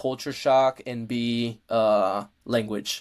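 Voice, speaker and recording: In a Spanish accent, a man speaks at a medium pitch in a relaxed tone with fairly even intonation, on a very clean recording with a silent background. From Mexico. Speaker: powerlifter and college student. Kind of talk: casual interview chat. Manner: relaxed, many fillers.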